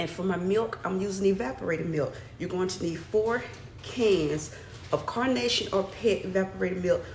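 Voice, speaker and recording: A woman speaks with an American accent and ordinary pitch variation. The room echo is audible, and there is noticeable background noise. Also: medium pitch for a woman, moderate pace. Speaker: cooking channel host. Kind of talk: cooking tutorial. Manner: soft-spoken; chatty.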